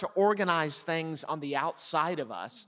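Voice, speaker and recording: Male speech at a moderate pace, very clean recording, silent background. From United States. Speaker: pastor. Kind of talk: sermon.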